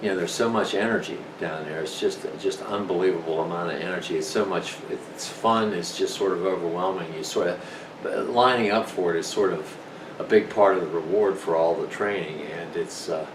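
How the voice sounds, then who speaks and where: A man with a very deep, low pitch talks at a fairly quick pace. Audible room echo and noticeable background noise fill the recording. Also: fairly even intonation. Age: 60s. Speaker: senior marathon runner. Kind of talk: casual talk to camera. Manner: halting, many fillers.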